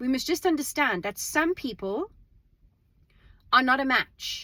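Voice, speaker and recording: A loud woman's voice, high-pitched and bright with a sharp tone, with very wide pitch swings. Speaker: vlogger. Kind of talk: casual monologue. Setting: in a car. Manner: halting repetitions.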